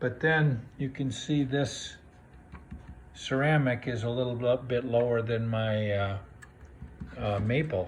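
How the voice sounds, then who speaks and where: In a room with audible echo, a man speaks very slowly and somewhat breathily, leaving long, frequent pauses. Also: medium pitch for a man, ordinary pitch variation. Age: 60s. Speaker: DIY woodworker. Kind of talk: tutorial. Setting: home workshop. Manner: hesitant, many fillers.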